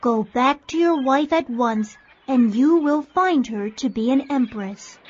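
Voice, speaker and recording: A female-sounding, put-on character voice pitched high for a woman. It moves at a fairly slow pace. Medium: read story. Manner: formal, brief.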